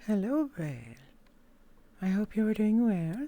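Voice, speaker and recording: A put-on character voice, gravelly and female-sounding, at a medium pitch and moderate pace. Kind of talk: formal, polite.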